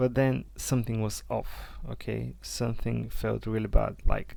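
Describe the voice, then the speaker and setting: A man with a Bulgarian accent talks at a fairly slow pace. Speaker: content creator. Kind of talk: casual vlog monologue. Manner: halting, many fillers and restarts.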